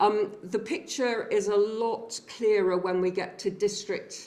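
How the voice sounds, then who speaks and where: At a fairly slow pace, a woman speaks in a plain, everyday voice at medium pitch. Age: 60s. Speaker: public health researcher presenting findings. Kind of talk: seminar presentation.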